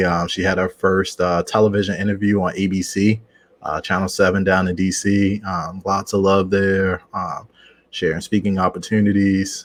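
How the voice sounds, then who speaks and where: In a Baltimore accent, a man speaks at a moderate pace with a fairly low pitch and monotone, flat intonation. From Baltimore, Maryland, US. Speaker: founder of a speakers network. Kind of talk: podcast interview.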